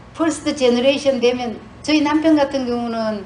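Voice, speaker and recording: Amid noticeable background noise, a woman with a Gyeongsang accent speaks at a high pitch with ordinary pitch variation. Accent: Gyeongsang Korean dialect. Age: 60s. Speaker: retired nurse, church speaker. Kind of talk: testimony. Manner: halting, many fillers.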